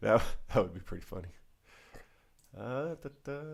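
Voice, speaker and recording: Vocal fry runs through this voice at a fairly slow pace. Its pitch swings very widely. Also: man. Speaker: call-in radio show host. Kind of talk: casual chat.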